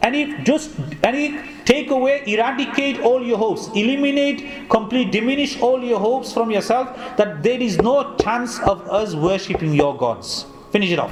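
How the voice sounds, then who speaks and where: A man speaks at a moderate pace with an extremely high pitch. There is noticeable background noise. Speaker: Islamic scholar delivering a Quran tafsir lecture. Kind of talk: religious lecture.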